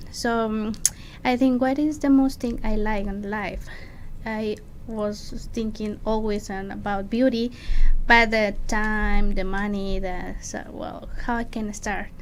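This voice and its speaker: A woman with a Mexican accent at a fairly high pitch, very slow pace and fairly even intonation, in audible room echo. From Mexico City, Mexico. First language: Spanish. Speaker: makeup artist. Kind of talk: interview. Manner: halting.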